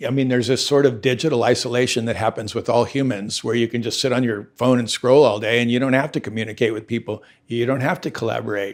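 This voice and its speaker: Speaking at a fairly quick pace in a Southern Californian accent, the voice shows ordinary pitch variation in a very clean recording with a silent background. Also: man. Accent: Southern California American. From suburban Los Angeles, Southern California. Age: 60s. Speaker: surfwear businessman and surfboard shaper. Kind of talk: interview conversation. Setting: at his ocean-front home. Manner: casual, relaxed.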